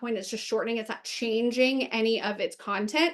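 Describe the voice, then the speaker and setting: A woman speaks in a high voice. Her pitch varies in an ordinary way. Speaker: webinar presenter. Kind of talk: webinar presentation. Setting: online webinar. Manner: fast.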